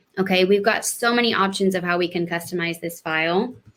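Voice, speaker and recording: A woman with an ordinary speaking voice talks at a medium pitch and a moderate pace with fairly even intonation. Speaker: webinar presenter. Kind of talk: live webinar tutorial. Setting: live online webinar.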